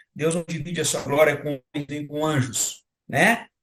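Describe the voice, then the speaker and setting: A man talks fairly slowly, his voice somewhat breathy and fairly high in pitch. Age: 60s. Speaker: senior pastor and live host. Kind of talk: live-stream panel moderation.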